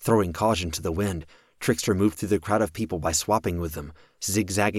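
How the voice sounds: The clip carries a natural reading voice.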